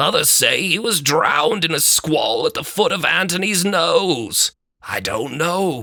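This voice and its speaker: In a put-on character voice, a man speaks at a high pitch and moderate pace, the sound dry and close with no echo. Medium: read story.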